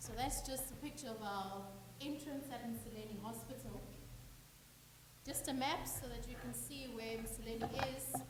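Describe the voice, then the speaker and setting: A woman at a moderate pace with long, frequent pauses, noticeable background noise, and audible room echo. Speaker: medical officer. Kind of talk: conference presentation. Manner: loud.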